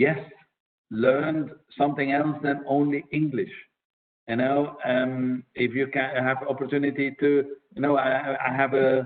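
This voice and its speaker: A man's fairly high voice in a monotone, flat delivery at a fairly slow pace, with long, frequent pauses. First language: Dutch (Flemish). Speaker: diplomat, press attaché. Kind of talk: webinar Q&A talk. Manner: hesitant, many fillers.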